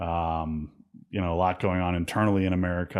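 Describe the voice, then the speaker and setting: A man speaks in a Pittsburgh accent at a fairly quick pace. His pitch is very deep and low. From US, Pittsburgh. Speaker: podcast host. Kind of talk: interview.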